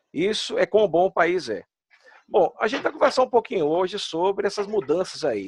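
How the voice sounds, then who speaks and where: A man with a Pernambuco accent, fairly quick in pace, with very wide pitch swings. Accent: Pernambuco Brazilian Portuguese. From Brazil, Pernambuco. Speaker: immigration consultant. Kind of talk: casual chat. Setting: video call.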